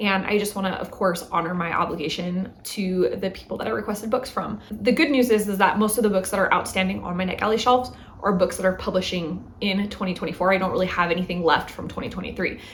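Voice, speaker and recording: A woman speaks at a very fast pace in a medium pitch, with ordinary pitch variation and hardly any pauses. Background noise is noticeable and room echo audible. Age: 30s. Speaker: book vlogger. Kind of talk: casual vlog monologue. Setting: home. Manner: chatty, conversational.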